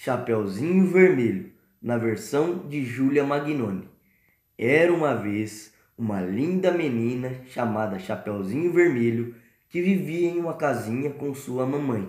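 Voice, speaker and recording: This man has an unremarkable speaking voice at a medium pitch. He talks at a fairly slow pace with lively intonation. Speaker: storyteller podcast host. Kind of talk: bedtime story narration for children, playing the wolf. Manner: warm, gentle, unhurried storyteller tone with play-acted character voices.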